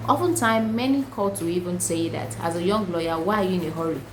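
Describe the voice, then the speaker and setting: A woman's medium-pitched voice with lively intonation at a moderate pace, in audible room echo. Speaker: lawyer. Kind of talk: tutorial.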